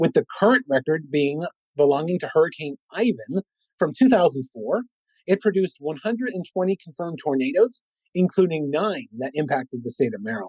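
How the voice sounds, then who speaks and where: A man with an American accent talks fairly quickly at a high pitch with very wide swings, the sound dry and close with no echo. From Lowell, Massachusetts. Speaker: meteorologist. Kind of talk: educational presentation and interview answers.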